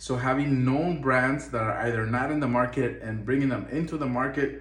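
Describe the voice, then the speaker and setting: A man with a Spanish accent, medium pitch, moderate pace and fairly even intonation, plus audible room echo and noticeable background noise. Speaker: import business owner. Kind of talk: tutorial.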